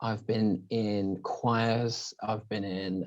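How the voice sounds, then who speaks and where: In a very clean recording with a silent background, a man with a British accent speaks at a medium pitch with fairly even intonation. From English Midlands, Northampton. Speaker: singer. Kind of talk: casual interview.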